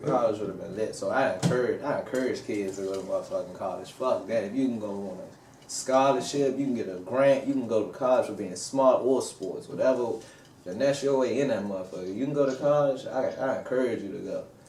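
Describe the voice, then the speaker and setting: With hardly any pauses, a man talks at a fairly quick pace with ordinary pitch variation, over noticeable background noise and audible room echo. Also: medium pitch for a man. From Washington DC. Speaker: rapper. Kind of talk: interview.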